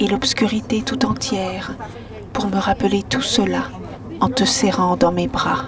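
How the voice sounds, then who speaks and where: Against noticeable background noise, a woman talks very slowly at a medium pitch. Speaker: whispering poet, reader of poems aloud. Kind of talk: poetry reading. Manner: soft, whispered, slow.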